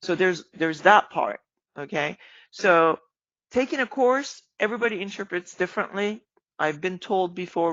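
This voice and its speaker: A woman with a non-native accent speaks at a moderate pace, her medium pitch showing ordinary variation. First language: not English. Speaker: trading educator. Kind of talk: live-streamed trading lesson. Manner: casual, many fillers.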